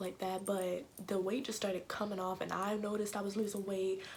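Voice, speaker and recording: A woman whispers quietly. Her pace is fairly quick. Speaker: fitness vlogger. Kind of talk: casual talk to camera. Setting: home recording without proper mic. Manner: quiet, near whisper.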